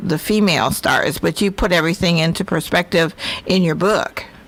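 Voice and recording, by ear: At a moderate pace, a woman talks with fairly low pitch, a fairly bright tone, fairly even intonation and vocal fry.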